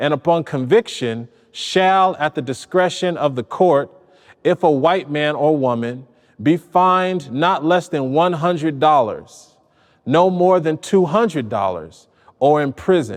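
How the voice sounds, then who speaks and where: Against a quiet background, a man with a plain, everyday voice speaks at a fairly slow pace. His pitch is fairly high and his intonation lively. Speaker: poet. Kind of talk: poetry reading of a historical legal text.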